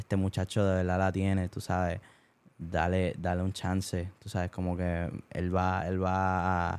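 On a very clean recording with a silent background, a man with a very deep, low voice talks fairly slowly in a monotone, flat intonation. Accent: Puerto Rican. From Puerto Rico (Bayamón). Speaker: singer. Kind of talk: casual chat. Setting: rented house late at night. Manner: quiet, laid back.

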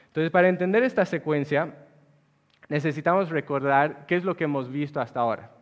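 A man's unremarkable speaking voice, fairly high in pitch, with ordinary pitch variation. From Bolivia (La Paz). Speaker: pastor. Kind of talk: sermon.

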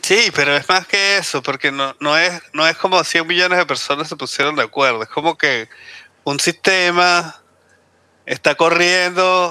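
A man talks at a fairly slow pace. His high-pitched voice has a bright, sharp tone. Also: ordinary pitch variation, dry, close sound with no echo. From Caribbean. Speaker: podcast co-host. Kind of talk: casual chat.

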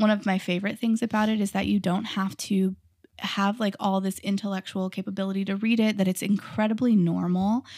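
On a very clean recording with a silent background, a woman speaks at a fairly quick pace. Her pitch is medium and her intonation monotone and flat. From Texas, small rural town. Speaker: professor and early childhood education business owner. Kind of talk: interview.

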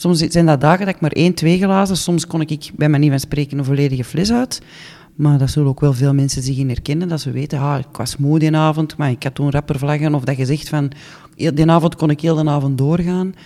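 A woman talks at a fairly quick pace with fairly even intonation. Her voice is very deep and low, with a dark, mellow tone. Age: 40s. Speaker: podcast host. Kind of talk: personal testimony.

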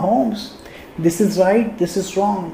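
Someone with a Sindhi accent speaks at a very slow pace amid noticeable background noise. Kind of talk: personal tribute monologue.

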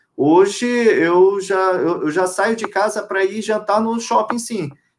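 A man is speaking. His pitch is high. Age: 30s. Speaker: lawyer and retail executive. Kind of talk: live interview.

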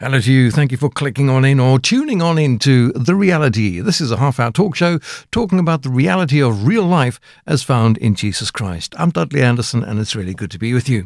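In an ordinary speaking voice, a man talks at a fairly quick pace and medium pitch with lively intonation, recorded very cleanly against a silent background. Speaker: radio host. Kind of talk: radio interview.

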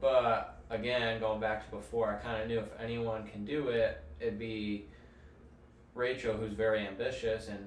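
The pace is moderate, and noticeable background noise sits under the speech. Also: man. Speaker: firefighter. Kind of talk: casual chat. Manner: quiet; flat, little expression.

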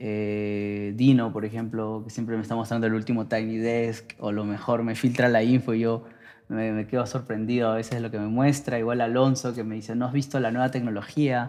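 Hardly pausing, a man speaks fairly quickly in a medium pitch, his tone dark and mellow and his intonation monotone and flat. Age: 20s. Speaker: music producer. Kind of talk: casual interview. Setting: studio.

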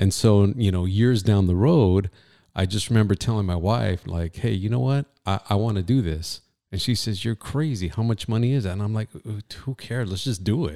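Recorded very cleanly with a silent background and a dry, close sound without echo, a man speaks at a moderate pace in a fairly low pitch with a dark, mellow tone. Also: ordinary pitch variation. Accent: American. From Southern California, Ventura County. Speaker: radio host and entrepreneur. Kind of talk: casual chat. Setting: studio.

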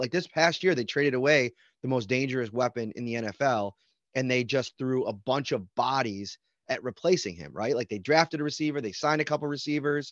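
A man with a Buffalo accent talks at a fairly quick pace at a medium pitch. The sound is dry and close with no echo, against a quiet background. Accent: Western New York (Buffalo). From Buffalo, New York. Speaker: sports beat reporter. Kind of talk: casual interview.

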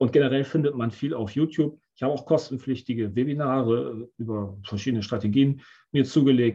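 A man with a dark, mellow tone talks at a fairly quick pace and sounds somewhat breathy. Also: medium pitch for a man, ordinary pitch variation. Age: 50s. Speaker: options trader. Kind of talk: interview.

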